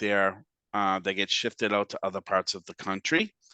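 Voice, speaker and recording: Against a quiet background, a man with a Boston accent speaks in a bright, sharp tone, with a dry, close sound and no echo. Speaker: housing finance agency representative. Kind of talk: webinar presentation. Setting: webinar. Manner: casual with frequent fillers.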